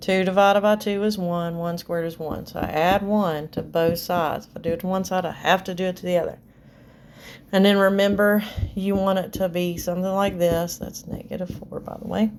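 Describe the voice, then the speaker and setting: A woman talks at a fairly quick pace in a medium pitch with monotone, flat intonation. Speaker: math teacher. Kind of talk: tutorial.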